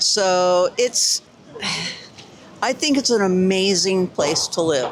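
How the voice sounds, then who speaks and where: A woman with a New York accent talks very slowly at a medium pitch over noticeable background noise. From New York City. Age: 70s. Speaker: interviewee. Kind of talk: street interview.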